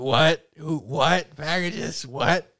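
In a dry, close recording with no echo, a man puts on a nasal character voice pitched fairly high.

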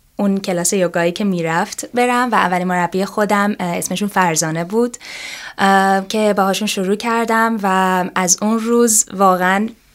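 A woman with a plain, everyday voice speaks at a moderate pace and medium pitch, her intonation fairly even and her loudness very even. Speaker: yoga teacher. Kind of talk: interview.

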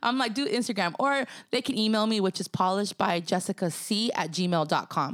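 On a very clean recording with a silent background, a woman with an ordinary speaking voice talks at a fairly quick pace, medium in pitch, very even in loudness and lively in intonation. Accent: American. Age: 30s. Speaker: hair and makeup artist. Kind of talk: casual interview chat.

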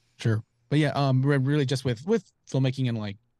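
A man with an American accent talks at a fairly quick pace with ordinary pitch variation, his voice dry and close with no echo over a quiet background. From North Carolina (Charlotte). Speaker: director and photographer. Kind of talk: casual chat. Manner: halting.

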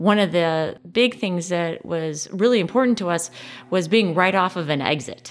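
A plain, everyday voice from a woman with an American accent, fairly low in pitch, with ordinary pitch variation and a moderate pace. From US Midwest, Chicago suburbs. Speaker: business owner. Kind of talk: casual interview. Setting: on location at her club.

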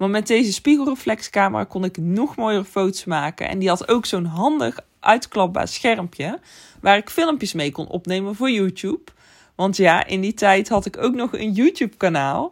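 A woman speaks at a moderate pace with lively intonation on a very clean recording with a silent background. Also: medium pitch for a woman. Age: 30s. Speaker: photographer and podcast host. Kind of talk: solo podcast monologue. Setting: home bedroom. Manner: occasionally stumbling over words.

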